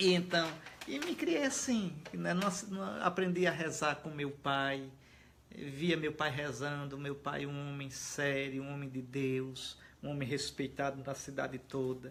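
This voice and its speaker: With a strong northeastern Brazilian accent, a man speaks fairly slowly in a fairly high voice with ordinary pitch variation. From Alagoas, Brazilian Northeast. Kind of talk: interview conversation. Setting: host's home.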